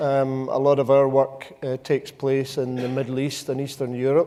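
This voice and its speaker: The man talks at a fairly quick pace and medium pitch, his tone dark and mellow. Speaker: company CEO, facility management panelist. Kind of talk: conference panel introduction.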